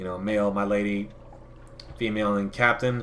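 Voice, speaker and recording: Audible room echo surrounds a man whose voice sits at a fairly low pitch. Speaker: gaming youtuber. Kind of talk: let's play commentary. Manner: casual, with fillers; fast.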